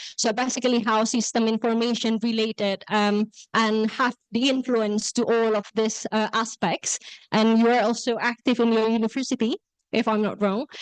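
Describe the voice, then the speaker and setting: With an Indonesian accent, a woman speaks at a fairly high pitch in a monotone with flat intonation, at a moderate pace and very even loudness, the sound dry and close with no echo over a quiet background. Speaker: workshop moderator. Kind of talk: event introduction. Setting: classroom with audience, also on Zoom. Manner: hesitant, many fillers.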